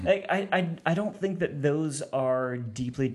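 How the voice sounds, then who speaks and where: A man with a normal speaking voice, lively intonation and a fairly slow pace. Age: 40s. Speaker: theology professor and author. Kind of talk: casual interview. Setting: studio with big headphones.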